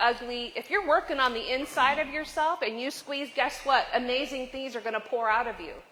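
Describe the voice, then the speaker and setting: Speaking at a moderate pace with hardly any pauses, a woman with an American accent uses a raised, projected, high voice in an animated tone, with ordinary pitch variation and big swings in loudness over noticeable background noise. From US Midwest (western Nebraska). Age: 50s. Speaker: leadership speaker. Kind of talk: motivational talk. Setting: cafe with live audience.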